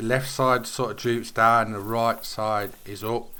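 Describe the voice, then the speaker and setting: Here is a man with a medium pitch. His tone is bright and sharp. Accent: British. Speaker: gaming YouTuber. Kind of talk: gameplay commentary. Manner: halting.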